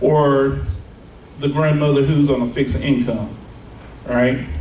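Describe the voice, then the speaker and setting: Noticeable background noise and audible room echo accompany a man with a fairly high pitch. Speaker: life insurance broker. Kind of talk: seminar talk. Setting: live audience without mic. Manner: loud; casual, filler-heavy. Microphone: no microphone.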